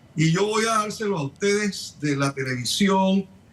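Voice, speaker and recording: A high-pitched male voice with lively intonation over noticeable background noise. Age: 60s. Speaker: surgeon. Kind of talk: TV news interview. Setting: remote connection.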